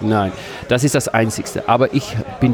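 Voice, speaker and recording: Over noticeable background noise, a man with a Dutch accent talks at a moderate pace with ordinary pitch variation. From Netherlands, Amsterdam. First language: Dutch (speaking German). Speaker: games vendor. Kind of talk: casual interview. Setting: convention stand.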